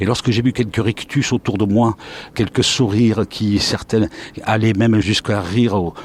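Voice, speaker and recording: A man with a fairly low pitch talks at a moderate pace. The sound is dry and close, with no echo. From southern France, Montpellier. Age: 60s. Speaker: retired sports commentator. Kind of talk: interview, life story. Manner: hesitant, frequent 'euh' fillers.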